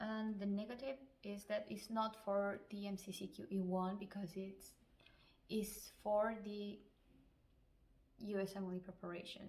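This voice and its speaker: At a fairly slow pace, a woman with a Spanish accent speaks at a medium pitch in a somewhat breathy voice. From Chile. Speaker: physician. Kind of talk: advice vlog.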